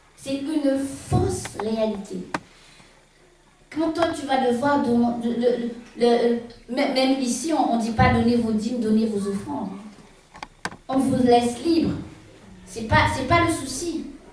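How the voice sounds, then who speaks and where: Speaking at a high pitch, a woman goes at a very slow pace with long, frequent pauses. Noticeable background noise and audible room echo surround her voice. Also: ordinary pitch variation. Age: 60s. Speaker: preacher. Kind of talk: sermon. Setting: church with congregation. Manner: halting, repetitive.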